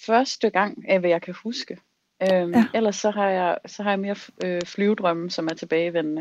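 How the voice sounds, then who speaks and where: Speaking in an ordinary speaking voice, a woman keeps a medium pitch, moderate pace and fairly even intonation. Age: 30s. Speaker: self-employed dreamer sharing a dream. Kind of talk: casual chat.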